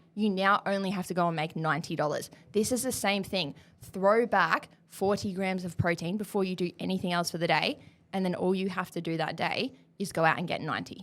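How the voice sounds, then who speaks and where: At a fairly quick pace, a woman speaks at medium pitch with ordinary pitch variation. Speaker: nutrition podcast host. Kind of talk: rapid-fire Q&A casual chat. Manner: animated; fast.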